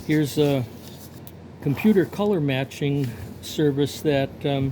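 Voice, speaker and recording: A man with a fairly high pitch speaks at a very slow pace. Noticeable background noise sits behind him. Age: 70s. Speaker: picture framer and artist. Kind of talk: casual vlog monologue. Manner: halting, many fillers.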